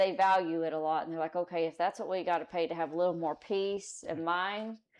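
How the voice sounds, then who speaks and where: The speaker moves at a fairly quick pace. The intonation stays fairly even. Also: woman, fairly low pitch for a woman. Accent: Texan. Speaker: citizen advisory committee member; city worker who serves warrants. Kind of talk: committee meeting discussion. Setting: town hall meeting room with microphones. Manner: loud.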